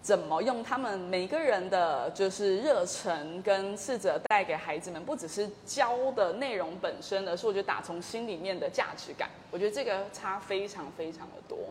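A woman with a medium pitch talks at a moderate pace with hardly any pauses, lively intonation and big swings in loudness. Noticeable background noise runs underneath. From Kaohsiung, Taiwan, with British family. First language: English (speaking Chinese). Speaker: education company founder. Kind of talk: casual interview.

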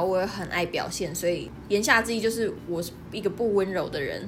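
Audible room echo surrounds a woman speaking at a moderate pace and a medium pitch. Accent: southern Taiwanese. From southern Taiwan, near Kenting (Pingtung). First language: Taiwanese Hokkien (speaking Chinese). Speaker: podcast co-host. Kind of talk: casual chat. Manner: animated.

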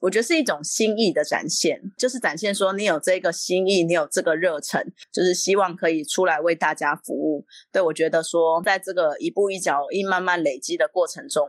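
An unremarkable speaking voice belongs to a woman of medium pitch, talking at a fairly quick pace in a dry, close sound with no echo. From Taiwan, Yunlin County. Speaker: city council candidate. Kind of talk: interview.

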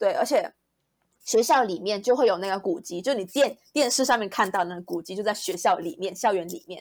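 A woman's unremarkable speaking voice, medium in pitch and fairly quick, with lively intonation and big swings in loudness, in a very clean recording against a silent background. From Malaysia. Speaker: recent university graduate. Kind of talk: interview.

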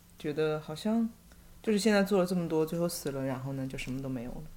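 A woman with a very deep, low pitch talks at a very fast pace. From China, Hangzhou. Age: 30s. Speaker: bookstore owner. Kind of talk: casual chat.

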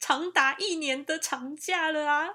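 A woman's voice in a very clean recording against a silent background. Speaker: podcast host, nurse. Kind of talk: casual monologue.

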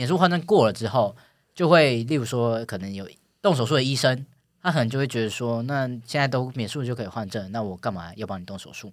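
Speaking fairly quickly at a medium pitch, a man uses lively intonation on a very clean recording with a silent background. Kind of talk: casual chat. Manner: halting, many fillers.

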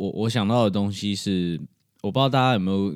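A very clean recording of a man, with the background entirely silent. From Taiwan. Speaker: podcast host. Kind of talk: solo podcast monologue. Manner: casual.

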